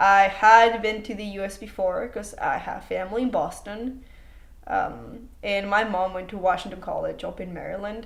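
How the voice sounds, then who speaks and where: With audible room echo and big swings in loudness, a woman speaks at a medium pitch and moderate pace with fairly even intonation. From Mexico. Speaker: student. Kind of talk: interview.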